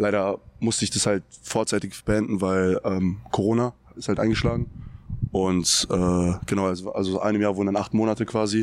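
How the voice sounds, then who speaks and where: A man's fairly low voice at a moderate pace, with very even loudness and flat, monotone intonation. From Germany, Frankfurt area (Hesse). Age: 20s. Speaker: college basketball player. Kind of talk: casual interview.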